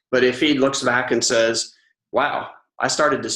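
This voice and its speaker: In a Southern US accent, a man talks at a moderate pace. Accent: Southern US twang. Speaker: author and ghostwriter. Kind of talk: interview.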